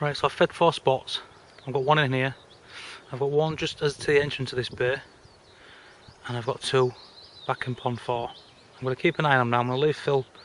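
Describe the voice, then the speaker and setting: A man's medium-pitched, monotone delivery at a fairly quick pace, broken by long and frequent pauses, over noticeable background noise. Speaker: carp angler. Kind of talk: fishing vlog commentary. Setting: outdoors at a fishing lake. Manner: whispering.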